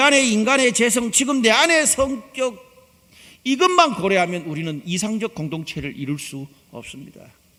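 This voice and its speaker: Delivered in a Gyeongsang accent, the voice is raised and projected at a moderate pace. Its pitch swings very widely. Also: man, big swings in loudness. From Gyeongsang region, South Korea. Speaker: pastor. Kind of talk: sermon.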